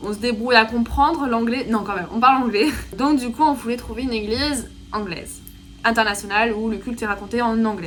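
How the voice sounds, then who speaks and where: A fairly high-pitched woman at a fairly quick pace, with ordinary pitch variation, audible room echo, and noticeable background noise. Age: 20s. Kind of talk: casual vlog. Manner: casual, filler-heavy.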